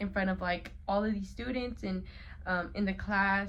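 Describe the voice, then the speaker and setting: A woman talks with an American accent in a somewhat breathy voice. Room echo is audible. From Colorado, US. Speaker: college student vlogger. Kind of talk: casual vlog talk. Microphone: phone mic.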